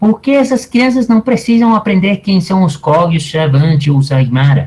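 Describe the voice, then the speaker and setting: A somewhat breathy man with lively intonation, at a moderate pace. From Colombia. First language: Spanish (speaking Portuguese). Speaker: anthropology professor. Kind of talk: lecture.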